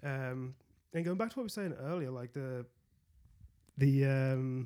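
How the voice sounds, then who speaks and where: A man at medium pitch and a fairly slow pace, with ordinary pitch variation. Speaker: new team member, wargamer. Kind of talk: casual chat podcast.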